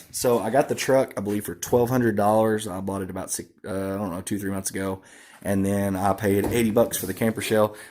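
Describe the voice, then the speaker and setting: With an Arkansas accent, a man talks at a fairly quick pace and fairly low pitch in a monotone, flat intonation. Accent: southern US (Arkansas). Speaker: car audio hobbyist. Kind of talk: casual walkaround vlog. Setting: shop / garage, truck walkaround. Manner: fast; hesitant, many fillers.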